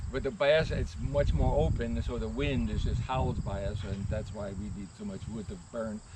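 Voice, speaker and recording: Noticeable background noise and audible room echo surround a man who talks at a moderate pace with hardly any pauses. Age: 70s. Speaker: hay farmer, prospective buyer. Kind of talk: casual interview. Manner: halting, many fillers.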